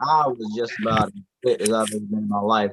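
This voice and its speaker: With lively intonation, a man talks in an American accent. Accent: Southern accent likened to a Texas rapper. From rural US. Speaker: rapper. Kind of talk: casual chat. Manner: animated.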